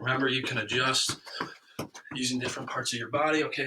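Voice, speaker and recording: A man talks at a fairly quick pace and a medium pitch, with audible room echo in the recording. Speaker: youth soccer coach. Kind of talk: live workout instruction. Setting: Facebook live stream, indoors with space heater. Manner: fast.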